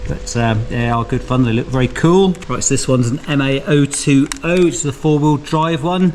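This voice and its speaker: Noticeable background noise sits behind a man with a British accent and a fairly high pitch. He keeps a moderate pace with ordinary pitch variation and hardly any pauses. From UK. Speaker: RC hobby youtuber. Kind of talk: casual video presentation. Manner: relaxed, conversational.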